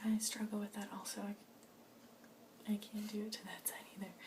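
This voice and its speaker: Soft-spoken and gentle in tone, a woman talks at a fairly quick pace with a fairly high pitch and monotone, flat intonation, amid noticeable background noise. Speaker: ASMR artist doing a doctor roleplay. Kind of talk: ASMR medical roleplay. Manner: soft-spoken, gentle.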